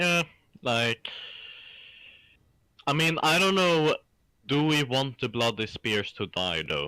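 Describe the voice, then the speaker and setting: A man with a Swedish accent speaks at a very slow pace with long, frequent pauses, his fairly high voice bright and sharp in tone. His pitch swings very widely, and the sound is dry and close with no echo. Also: very clean recording, silent background. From Sweden. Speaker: gaming co-op partner. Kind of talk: casual chat.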